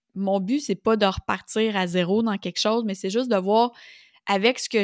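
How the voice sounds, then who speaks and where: With a Quebec accent, a woman talks at a moderate pace in a fairly high pitch, recorded very cleanly against a silent background with a dry, close sound and no echo. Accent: Québécois French. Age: 40s. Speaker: business coach and podcast host. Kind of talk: solo podcast monologue. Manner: casual, conversational with frequent fillers.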